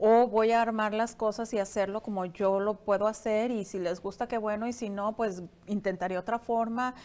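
With a slight Latin American accent, a woman speaks at a moderate pace in a fairly high, monotone voice with flat intonation and hardly any pauses. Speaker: entrepreneur; interview guest. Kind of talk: interview. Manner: halting, many fillers. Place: studio. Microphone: lapel.

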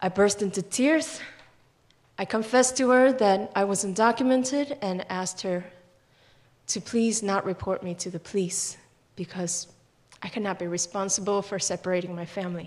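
A woman at a moderate pace, with ordinary pitch variation and long, frequent pauses. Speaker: immigrant rights activist; storyteller. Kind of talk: personal storytelling. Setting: stage with audience. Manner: impassioned. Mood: earnest, emotional. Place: hall. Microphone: podium.

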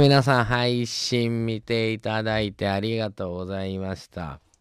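Speaking in a Kansai accent, a man varies his loudness in big swings over a quiet background, with a dry sound and no echo. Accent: Kansai Japanese. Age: 40s. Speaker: radio host. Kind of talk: live radio talk. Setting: radio studio. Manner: animated. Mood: cheerful, joking. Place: booth. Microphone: studio mic.

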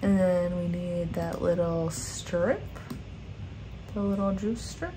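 A woman with a fairly low pitch talks very slowly in a relaxed, monotone, flat way amid noticeable background noise. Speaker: graphic design instructor. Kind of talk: software tutorial narration. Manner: casual, relaxed. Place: home room.

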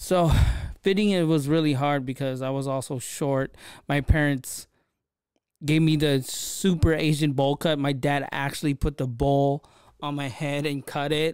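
A man with a Filipino accent speaks fairly slowly at a fairly high pitch with fairly even intonation, in a dry sound with no echo and a quiet background. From Philippines. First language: Tagalog. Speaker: podcast host. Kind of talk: casual solo podcast monologue. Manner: casual, conversational. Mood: relaxed, reflective, lightly humorous. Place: studio. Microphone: studio mic.

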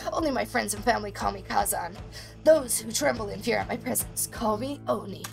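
Clear music plays in the background. A woman does a put-on character voice at a fairly quick pace. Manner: pompous, grumpy.

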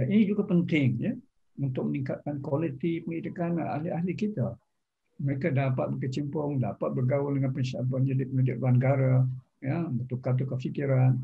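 A man with a Malaysian accent talks at a fairly quick pace and a fairly high pitch, with ordinary pitch variation. His voice is somewhat breathy, and the background is quiet. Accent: Malaysian Malay. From Selangor, Malaysia. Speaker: retired professor. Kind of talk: formal interview. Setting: video call. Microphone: video call.

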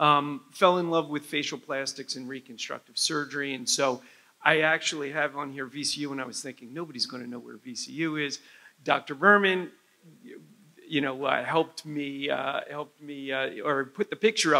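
Loudness swings widely as a man with an American accent talks at a moderate pace, his tone bright and sharp and his pitch variation ordinary. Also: fairly high pitch for a man. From New Jersey. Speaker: head and neck surgeon. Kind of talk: medical lecture. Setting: conference stage with audience. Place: hall. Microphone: lapel.

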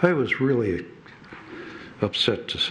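Amid noticeable background noise and audible room echo, a man talks at a fairly slow pace. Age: 80s+. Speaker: public commenter at city meeting. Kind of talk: public comment speech. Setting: city council chamber. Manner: halting.

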